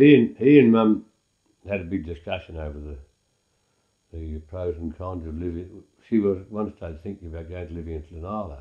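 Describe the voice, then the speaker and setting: A man's very deep, low voice, somewhat breathy, dark and mellow in tone, at a fairly quick pace with ordinary pitch variation, long and frequent pauses, big swings in loudness, and a quiet background. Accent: rural Australian. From Australia, Wimmera region of Victoria. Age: 80s+. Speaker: elderly farmer recalling family history. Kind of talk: oral history interview. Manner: halting, with frequent repetitions and fillers.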